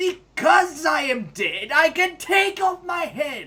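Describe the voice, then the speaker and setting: In a put-on character voice, the speaker talks at a fairly slow pace with an extremely high pitch. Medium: fan dub. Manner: warm, earnest.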